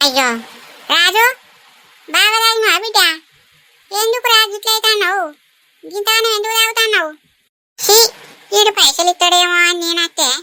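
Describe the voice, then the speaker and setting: A woman performs a cartoonish character voice. It's squeaky and extremely high in pitch. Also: moderate pace, ordinary pitch variation. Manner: rustic, wheedling.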